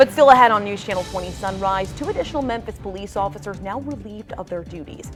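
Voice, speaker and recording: In an American accent, a normal speaking voice moves at a fairly quick pace with lively intonation. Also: woman. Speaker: morning news anchor. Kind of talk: TV news anchor read. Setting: TV studio.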